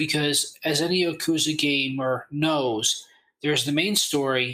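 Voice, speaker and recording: The man's voice is fairly high in pitch, with a bright, sharp tone. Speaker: gaming content creator. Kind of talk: casual interview chat.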